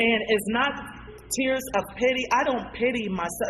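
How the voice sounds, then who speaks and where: Amid noticeable background noise, a woman with a fairly high pitch speaks in an animated tone at a moderate pace. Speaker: community activist. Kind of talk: radio talk show discussion.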